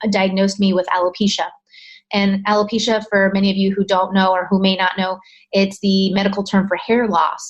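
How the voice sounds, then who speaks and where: Over a quiet background, a woman with an American accent speaks in a somewhat breathy, medium-pitched voice with monotone, flat intonation and very even loudness. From California. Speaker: alopecia coach. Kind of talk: podcast interview.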